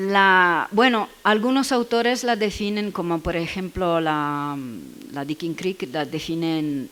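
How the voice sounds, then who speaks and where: Very slowly and with lively intonation, a woman at a medium pitch speaks in an Italian accent. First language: Italian (speaking Spanish). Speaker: education researcher. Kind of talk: Q&A after a seminar talk. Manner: halting, searching for words.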